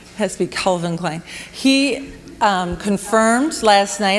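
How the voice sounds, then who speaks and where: Lively intonation from a woman at mid-range pitch, against noticeable background noise. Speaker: women's speaker at church camp. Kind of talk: sermon.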